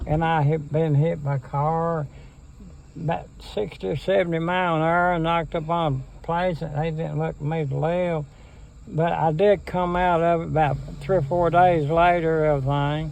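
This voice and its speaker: A man with an Appalachian accent and a fairly high pitch talks at a moderate pace, with fairly even intonation. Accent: Appalachian Kentucky. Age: 80s+. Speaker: interviewee. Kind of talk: casual chat. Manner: halting.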